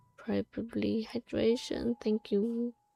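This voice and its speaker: Over music in the background, a woman speaks very slowly in a dry, close sound with no echo. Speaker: vtuber streamer. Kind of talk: casual gameplay livestream. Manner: halting.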